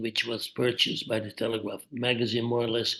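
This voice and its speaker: A man speaks with a Dutch accent. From Netherlands, Amsterdam. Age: 80s+. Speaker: journalist. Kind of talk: interview.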